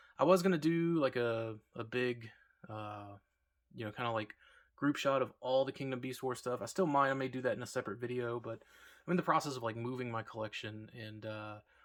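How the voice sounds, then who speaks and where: Moving at a fairly quick pace, a man speaks at a medium pitch with ordinary pitch variation. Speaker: toy reviewer. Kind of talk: product review. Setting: empty room being cleared. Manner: hesitant, many fillers.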